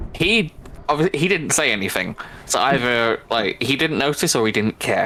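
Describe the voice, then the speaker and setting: In a Manchester accent, a man with a fairly high pitch and a bright, sharp tone speaks at a moderate pace, his pitch swinging very widely while his loudness stays very even. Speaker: gaming video creator. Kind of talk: casual chat.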